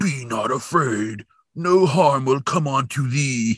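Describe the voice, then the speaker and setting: Putting on a character voice, a man growls at a medium pitch in a dramatic, solemn tone at a fairly slow pace. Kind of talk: archaic, formal.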